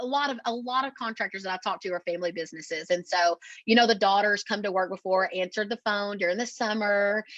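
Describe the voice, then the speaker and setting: Against a quiet background, a woman with an East Texas accent speaks at a fairly high pitch with ordinary pitch variation, in a dry, close sound with no echo. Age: 30s. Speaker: marketing agency owner. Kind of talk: podcast interview.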